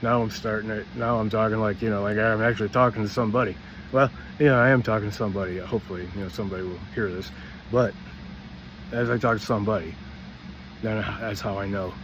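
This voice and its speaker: Over audible room echo, a man talks very fast at a fairly low pitch, his pitch varying in an ordinary way. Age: 60s. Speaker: vlogger. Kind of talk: personal monologue. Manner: halting.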